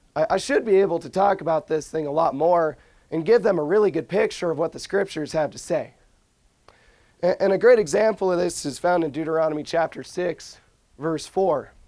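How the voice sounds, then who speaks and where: With ordinary pitch variation, the speaker moves along at a fairly quick pace. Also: man, high pitch for a man. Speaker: lay preacher. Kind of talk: devotional talk. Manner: casual, hesitant.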